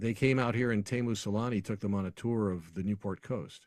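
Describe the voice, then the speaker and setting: On a very clean recording with a silent background, a man uses a normal speaking voice at medium pitch with ordinary pitch variation. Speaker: arena public address announcer. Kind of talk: podcast interview answer.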